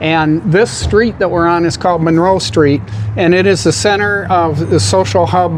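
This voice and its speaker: Here a man talks with a high pitch at a moderate pace. Noticeable background noise runs underneath. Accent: American. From Michigan. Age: 70s. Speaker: pool hall owner. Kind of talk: casual interview.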